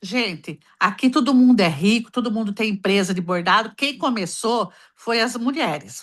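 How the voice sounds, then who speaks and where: An animated tone with lively intonation moves along at a moderate pace. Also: woman. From Brazil, Ibitinga, São Paulo state. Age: 60s. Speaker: embroiderer, caller on advice livestream. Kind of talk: casual chat.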